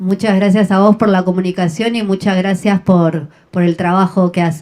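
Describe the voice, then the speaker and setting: In a Rioplatense accent, a woman speaks at a moderate pace with a dark, mellow tone at a medium pitch. Her intonation is monotone and flat, and her loudness is very even. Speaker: radio host. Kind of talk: interview.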